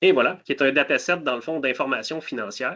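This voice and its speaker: A man speaks with a fairly high pitch and a bright, sharp tone. The background is quiet. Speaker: cybersecurity solutions specialist. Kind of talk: webinar product demo.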